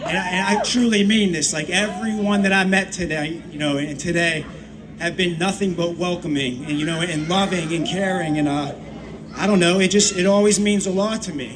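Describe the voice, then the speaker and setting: A high-pitched man with an American accent, a moderate pace and ordinary pitch variation, plus noticeable background noise and audible room echo. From Pittsburgh, Pennsylvania. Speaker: rapper. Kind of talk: stage talk to audience. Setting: outdoor festival stage with audience. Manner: halting, many fillers.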